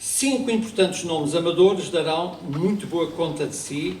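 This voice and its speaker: Amid noticeable background noise and audible room echo, a man speaks fairly slowly with lively intonation. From Azores, Portugal. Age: 60s. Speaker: amateur actor and local historian. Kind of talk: historical talk on stage. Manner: conversational, with asides and hesitations.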